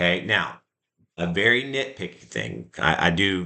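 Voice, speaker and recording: A man's very deep, low voice with a bright, sharp tone and vocal fry, over a quiet background. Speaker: math teacher. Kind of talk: lecture.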